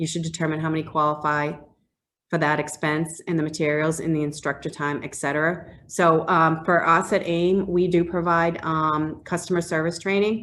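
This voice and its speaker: A woman with a Boston accent has a fairly low pitch. She speaks in a flat monotone. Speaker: HR business development manager presenting a grant program. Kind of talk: webinar presentation with Q&A. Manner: fast.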